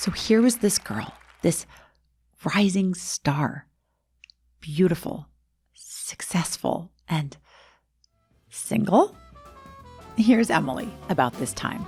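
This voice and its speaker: Very slow speech with long, frequent pauses and lively intonation, over music in the background. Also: woman, medium pitch for a woman. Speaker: podcast host. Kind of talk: documentary-style story narration.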